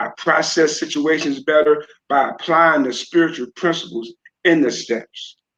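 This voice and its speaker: Intonation varies only a little. The speech holds a medium tempo. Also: man, fairly high pitch for a man. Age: 60s. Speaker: man in addiction recovery. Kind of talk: interview testimony. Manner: hesitant, filler words.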